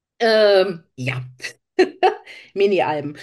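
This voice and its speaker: A woman talks very slowly, with a quiet background behind her. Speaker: crafter, podcast co-host. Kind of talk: casual chat.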